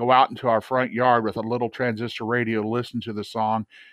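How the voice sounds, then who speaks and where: With a Midwestern US accent, a man talks at a medium pitch. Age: 60s. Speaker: retired radio broadcaster. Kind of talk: casual interview.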